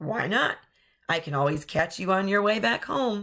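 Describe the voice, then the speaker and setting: A raspy, put-on character voice at a moderate pace, on a very clean recording with a silent background. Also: female-sounding voice. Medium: read story. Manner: roaring, menacing.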